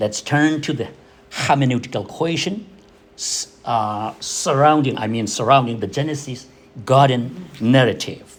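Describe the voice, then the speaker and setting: A man at a medium pitch, fairly slow, with ordinary pitch variation and long, frequent pauses. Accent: Burmese. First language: Zomi. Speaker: theology scholar presenting a paper. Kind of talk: academic paper presentation. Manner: halting, with repetitions and self-corrections.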